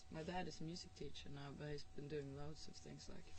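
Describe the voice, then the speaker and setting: Audible room echo surrounds a woman with a Norwegian accent. Her pitch variation is ordinary. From northern Norway. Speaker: musician. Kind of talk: interview. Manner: hesitant, many fillers and repetitions.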